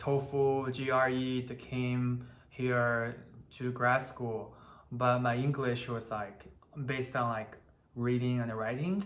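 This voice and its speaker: Audible room echo surrounds the voice. The speaker has a Chinese accent. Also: man. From China, Taiyuan. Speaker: electrical engineer, channel co-host. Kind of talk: casual chat.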